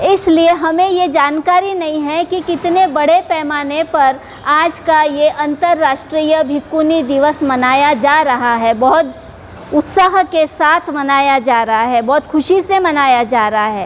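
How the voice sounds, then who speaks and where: Noticeable noise sits behind this woman's voice. She speaks at a high pitch with ordinary pitch variation. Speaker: Buddhist nun. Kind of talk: dharma talk. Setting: Buddhist temple gathering. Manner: formal.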